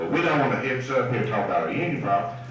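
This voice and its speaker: With a Texan accent, a man of medium pitch talks with lively intonation amid noticeable background noise and audible room echo. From East Texas. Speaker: union representative. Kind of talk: convention speech. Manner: folksy, animated.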